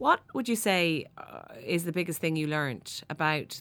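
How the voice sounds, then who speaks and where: Heard on a very clean recording with a silent background, a woman speaks at a moderate pace with an Irish accent. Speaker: podcast host. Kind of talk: interview. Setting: studio.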